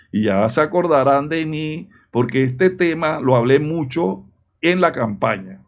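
Lively in intonation, a man with a fairly high pitch speaks fairly slowly against a quiet background. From Panama. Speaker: political commentator. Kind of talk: video commentary. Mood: indignant, critical.

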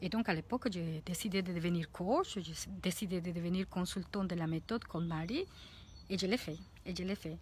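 In a Spanish accent, a somewhat breathy voice speaks at a moderate pace with fairly even intonation, recorded dry with no echo over light background noise. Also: woman, fairly low pitch for a woman. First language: Spanish (speaking French). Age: 40s. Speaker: life coach; coach. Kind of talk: vlog monologue. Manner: halting. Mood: warm, reflective. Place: garden. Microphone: phone near.

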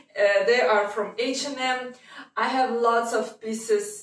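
Against audible room echo, a woman talks at a fairly slow pace with ordinary pitch variation. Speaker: lifestyle vlogger. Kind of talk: casual vlog chat. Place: home room.

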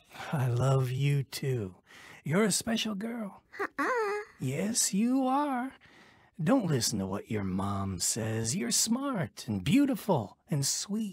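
Using a put-on character voice, a man talks at a very slow pace, his fairly high pitch swinging very widely. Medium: audio drama. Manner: warm, gentle.

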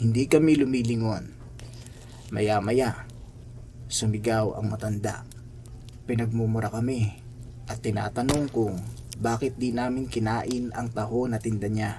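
Speaking in a monotone, flat intonation with long, frequent pauses, a man has a somewhat breathy voice and a dark, mellow tone. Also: medium pitch for a man. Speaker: horror story narrator. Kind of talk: ghost story telling, hushed spooky narration. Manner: slow, suspenseful, ominous; dramatic, building tension.

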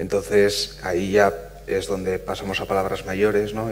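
The voice belongs to a man. There is light noise behind him. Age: 40s. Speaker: physicist and panel moderator; panel moderator. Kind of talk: panel moderation. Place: hall.

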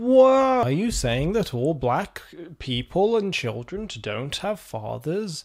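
Over a quiet background, a man with a British accent speaks very slowly at a high pitch, his pitch swinging very widely. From Britain. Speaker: video essayist. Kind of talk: video essay commentary. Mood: wry, sarcastic. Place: home room. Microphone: studio mic.

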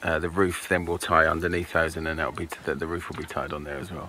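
Fairly quick speech over light background noise, in a dry sound with no echo. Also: man. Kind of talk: casual vlog chat. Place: garden. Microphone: phone near.

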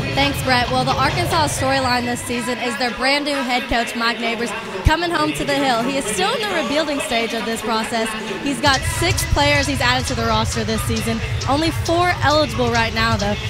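Over loud background music, a woman speaks at a fairly quick pace in a dry sound with no echo. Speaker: sideline reporter. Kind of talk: sports sideline report. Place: stadium. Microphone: handheld.

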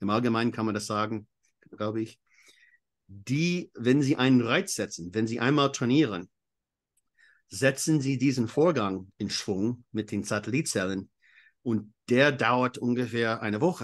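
Man with an English accent, medium pitch and ordinary pitch variation, fairly slow with long, frequent pauses, quiet background. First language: English (speaking German). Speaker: exercise physiologist and coach. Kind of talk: interview. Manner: halting.

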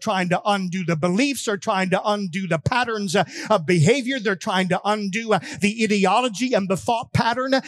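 Shouting in an American accent at a moderate pace, with ordinary pitch variation, very even loudness, hardly any pauses and a quiet background. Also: man. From United States. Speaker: pastor. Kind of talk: fiery patriotic holiday sermon with call-and-response. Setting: church. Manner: impassioned, rising exhortation punctuated by 'amen' asides; call-and-response, urging shouts from congregation. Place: church. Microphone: headset.

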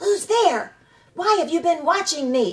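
A woman puts on a character voice at an extremely high pitch, squeaky and hissing. She talks at a fairly slow pace. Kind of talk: storybook read-aloud.

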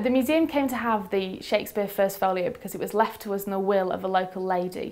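Words come at a very fast pace with hardly any pauses and ordinary pitch variation. Noticeable background noise sits behind the voice. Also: woman, medium pitch for a woman. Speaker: museum curator. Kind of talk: interview answer.

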